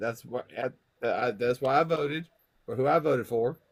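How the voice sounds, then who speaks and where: Someone with a Southern US accent talks at a moderate pace with ordinary pitch variation. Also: man. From US South. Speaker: person with MS in online community. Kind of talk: casual group chat.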